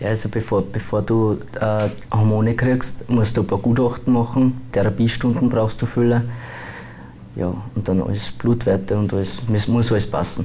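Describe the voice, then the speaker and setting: A man with a fairly low pitch and fairly even intonation speaks at a moderate pace over light background noise. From Austria, Bruck; Austria. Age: 20s. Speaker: transgender YouTuber; interviewee. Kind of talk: interview. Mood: calm, a bit reserved. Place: studio. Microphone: lapel.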